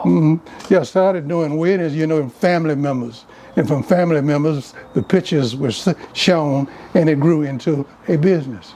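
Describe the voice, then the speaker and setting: A fairly high male voice at a moderate pace with ordinary pitch variation, over noticeable background noise. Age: 80s+. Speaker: classic car owner, former juvenile court worker and wedding car business owner. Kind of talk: casual conversation, interview answer.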